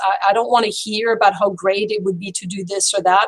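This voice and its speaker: With a French accent, a woman speaks at a medium pitch and a fairly quick pace. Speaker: French teacher. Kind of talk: video call introduction.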